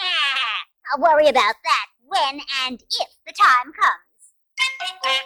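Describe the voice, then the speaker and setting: A female-sounding, put-on character voice speaks at a very slow pace in a high pitch. Its tone is smug. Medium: read story. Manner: sassy, smug.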